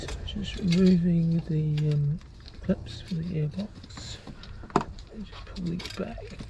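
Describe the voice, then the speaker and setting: A soft-spoken voice moves at a fairly slow pace through noticeable background noise. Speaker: DIY car mechanic. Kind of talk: tutorial.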